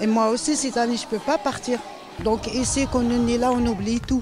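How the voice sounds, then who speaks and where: A man at an extremely high pitch, lively intonation, noticeable background noise. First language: not French (speaking French). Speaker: former hospital worker, garden participant. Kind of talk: interview testimony. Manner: halting.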